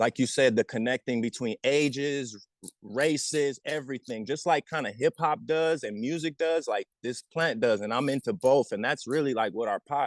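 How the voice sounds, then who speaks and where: Recorded with a dry, close sound and no echo, a man at medium pitch talks at a moderate pace with ordinary pitch variation and hardly any pauses. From Southern California. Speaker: podcast host, cannabis advocate. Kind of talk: casual interview chat. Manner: animated.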